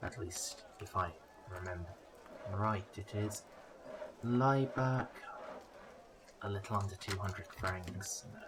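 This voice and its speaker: A man talks at a fairly slow pace with a fairly low pitch, leaving long, frequent pauses. His loudness swings widely, and there is noticeable background noise. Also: ordinary pitch variation. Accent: English. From England. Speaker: gaming video creator. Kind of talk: let's play commentary. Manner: casual, thinking aloud with pauses.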